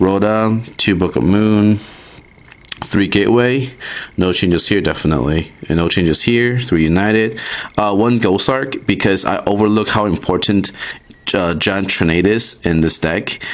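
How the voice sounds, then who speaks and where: A man speaks at a fairly low pitch, with very even loudness. Noticeable background noise runs under his voice. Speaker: card game YouTuber. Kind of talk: tutorial. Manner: casual, many fillers; fast.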